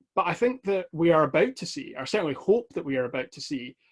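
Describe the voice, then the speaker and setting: In a West of Scotland accent, the voice moves at a fairly quick pace with a dry, close sound and no echo. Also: man. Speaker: Scottish politician. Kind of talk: online talk. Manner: fast.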